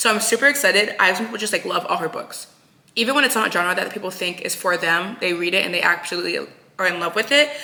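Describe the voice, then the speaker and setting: Over noticeable background noise, a woman speaks very fast in an animated tone, her medium-pitched voice showing ordinary pitch variation. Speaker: book vlogger. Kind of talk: casual vlog talk. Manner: soft-spoken.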